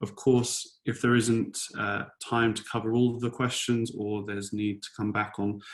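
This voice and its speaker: This man talks at a fairly slow pace in a fairly low pitch with a British accent, his intonation flat and monotone. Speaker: software solution designer. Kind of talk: webinar presentation. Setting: online webinar. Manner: hesitant, many fillers.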